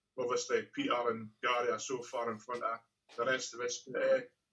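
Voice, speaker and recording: A man speaks at a fairly quick pace. He has a Scottish accent. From Scotland. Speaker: professional darts player. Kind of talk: interview answer.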